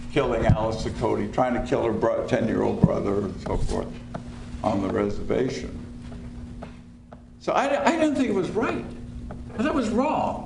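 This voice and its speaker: A man at a moderate pace with long, frequent pauses, audible room echo and noticeable background noise. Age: 70s. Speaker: lawyer, panelist. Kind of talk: panel talk.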